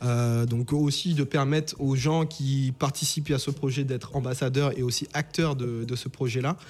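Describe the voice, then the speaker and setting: This man's voice sits fairly high and sounds somewhat breathy. He keeps a moderate pace and a fairly even intonation. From Saint-Martin, Caribbean. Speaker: entrepreneur. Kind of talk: interview. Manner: halting.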